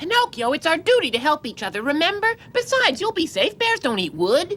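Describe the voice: A cartoonish character voice at an extremely high pitch, with very wide pitch swings and a fairly quick pace. Background noise is clearly heard.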